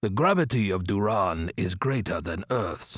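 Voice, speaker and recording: Using a put-on character voice, a man speaks with a fairly low pitch at a fairly slow pace in a very clean recording with a silent background. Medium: read story. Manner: measured, matter-of-fact.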